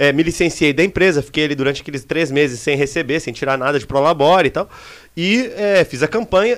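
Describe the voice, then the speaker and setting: A plain, everyday voice from a man, fairly high in pitch, fairly quick, and lively in intonation, on a very clean recording with a silent background. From southern Brazil, Serra Gaúcha (Rio Grande do Sul). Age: 30s. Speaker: city councillor. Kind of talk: casual interview chat. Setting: live studio stream.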